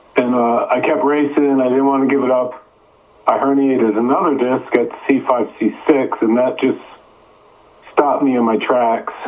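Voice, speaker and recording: Over noticeable background noise, a man at medium pitch speaks at a moderate pace with fairly even intonation and very even loudness. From upstate New York. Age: 60s. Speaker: author and endurance athlete. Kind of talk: interview testimony. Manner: halting, with repetitions.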